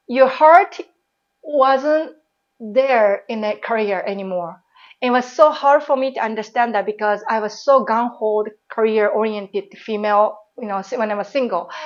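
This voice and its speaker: A woman with a Japanese accent, fairly high pitch, ordinary pitch variation and a moderate pace. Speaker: former airline pilot and baker. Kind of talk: interview. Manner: casual, with many fillers.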